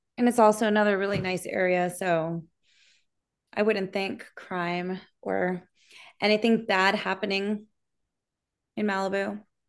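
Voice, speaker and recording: A woman talks at a fairly slow pace with long, frequent pauses, her medium pitch held in a monotone, flat intonation. The background is quiet. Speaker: podcast co-host. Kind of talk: casual chat.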